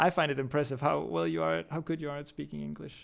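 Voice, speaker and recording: A man speaks with a Danish accent and lively intonation. The recording is very clean, its background silent. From Denmark. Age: 20s. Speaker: streamer and YouTuber. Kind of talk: casual chat. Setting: live stream. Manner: hesitant with fillers.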